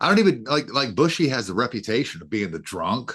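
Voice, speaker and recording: Over a quiet background, a man with vocal fry speaks at medium pitch and a fairly quick pace, his pitch swinging very widely. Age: 50s. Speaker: podcast guest. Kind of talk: casual chat. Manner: stammering repeats.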